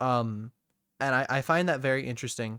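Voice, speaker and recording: A medium-pitched man with an American accent, recorded very cleanly with a silent background and a dry, close sound with no echo. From Wisconsin, US, with childhood time in Plymouth, England. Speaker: podcast host. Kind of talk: casual chat. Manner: halting, many fillers.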